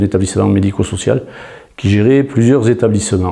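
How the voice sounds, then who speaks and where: Noticeable background noise runs through the clip. The man's voice is fairly low. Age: 50s. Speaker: job seeker, former social care manager. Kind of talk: interview self-presentation. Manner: hesitant, many fillers and repeats.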